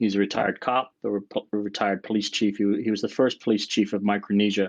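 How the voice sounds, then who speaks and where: Over a quiet background, a man with a non-native accent speaks at a fairly low pitch. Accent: non-American, noticeable. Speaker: sleep researcher. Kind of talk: interview. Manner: hesitant, fillers.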